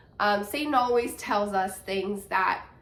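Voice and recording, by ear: A woman speaks at a medium pitch with a bright, sharp, nasal tone. Her pitch varies in an ordinary way.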